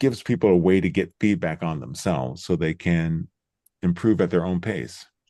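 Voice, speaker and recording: A man speaks at a very deep, low pitch with a dark, mellow tone. His pace is moderate, his tone calm and relaxed, and the background quiet. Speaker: Zoom trainer and host. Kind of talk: Q&A session. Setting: video call livestream. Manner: calm, relaxed tone.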